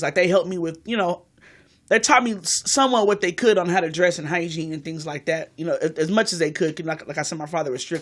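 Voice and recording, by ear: A woman speaking at a fast pace and fairly low pitch, on a very clean recording with a silent background.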